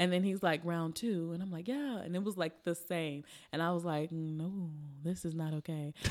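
A woman speaks in an unremarkable speaking voice with an American accent, her fairly low pitch moving with ordinary variation at a moderate pace. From Chicago South Side. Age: 30s. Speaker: comedian. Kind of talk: casual chat. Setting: studio.

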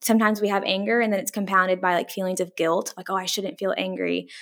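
Talking at a very fast pace with fairly even intonation, a woman is heard in a very clean recording with a silent background. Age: 20s. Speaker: mental health counselor. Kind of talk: casual interview. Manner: lots of fillers like 'like' and 'um'.

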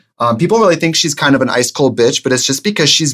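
A man is talking. His pace is very fast. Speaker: drag performer. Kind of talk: casual chat.

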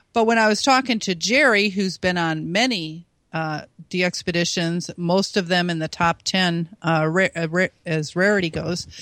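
Here a woman with an unremarkable speaking voice talks at a moderate pace, with fairly low pitch and ordinary pitch variation. The recording is very clean, with a silent background and a dry, close sound with no echo. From US Midwest. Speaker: ham radio DXer and contester. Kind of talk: casual interview.

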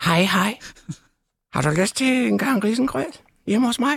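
The put-on character voice sits at a fairly high pitch. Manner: leering, seductive.

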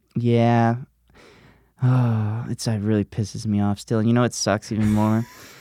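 A man talks at a medium pitch in an American accent, with a dark, mellow tone and flat, monotone intonation at a fairly slow pace. His loudness stays very even, and the recording is very clean with a silent background and a dry, close sound with no echo. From US South, Gulf Shores, Alabama. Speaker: comedian. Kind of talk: casual chat.

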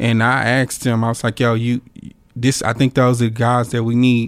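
A man speaks in a flat monotone. The recording is very clean, with a silent background. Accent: Southern US. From North Louisiana, Monroe. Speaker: painter and art professor. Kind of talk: interview. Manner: halting.

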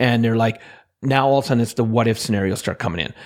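A man speaks in a Canadian accent. His voice sits at medium pitch with fairly even intonation. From central Alberta, Canada. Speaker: motivational speaker and financial expert. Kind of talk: interview. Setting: remote interview.

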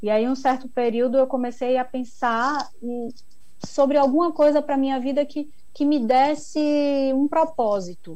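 A woman with a high voice and a dark, mellow tone speaks at a fairly slow pace with ordinary pitch variation. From Brazil, Bahia (Ilhéus). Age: 40s. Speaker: chocolate maker. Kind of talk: interview.

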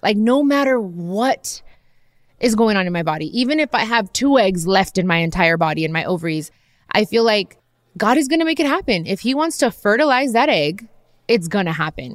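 The pitch swings very widely at a fairly quick pace. The recording is very clean, with a silent background. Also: woman, fairly high pitch for a woman. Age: 30s. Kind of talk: casual chat.

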